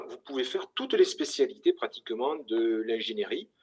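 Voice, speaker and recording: This man speaks with a Toulouse accent. His pace is moderate. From southern France, Toulouse. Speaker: engineering school representative. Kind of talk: conference presentation. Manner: hesitant, many fillers.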